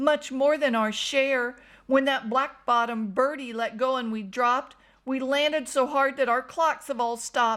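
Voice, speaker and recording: On a very clean recording with a silent background, a woman uses a high-pitched, put-on character voice at a moderate pace. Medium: read story.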